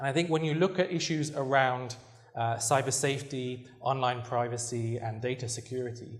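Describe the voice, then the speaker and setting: With a British accent, a man speaks in a somewhat breathy, medium-pitched voice at a moderate pace, and audible room echo surrounds him. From Britain. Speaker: researcher and journalist. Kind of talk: lecture.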